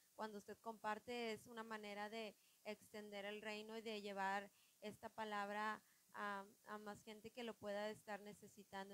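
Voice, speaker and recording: Speaking at a fairly slow pace, a woman uses a medium pitch and a monotone, flat intonation. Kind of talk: religious podcast chat. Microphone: listeners say audio too quiet.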